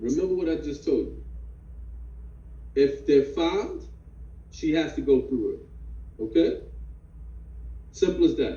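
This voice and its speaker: A man's voice with audible room echo. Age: 50s. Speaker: fatherhood class instructor. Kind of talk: online class discussion.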